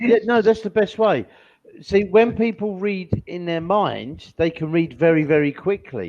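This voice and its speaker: With an English accent, a man speaks at a fairly slow pace and a high pitch, with ordinary pitch variation. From England. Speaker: online English teacher. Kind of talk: one-on-one language lesson.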